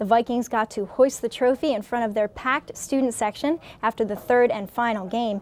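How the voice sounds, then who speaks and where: A woman with an ordinary speaking voice and an American accent talks fairly quickly at a fairly high pitch. Her voice is recorded dry and close, with no echo. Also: fairly even intonation. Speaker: newscast reporter. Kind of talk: local newscast update read to camera.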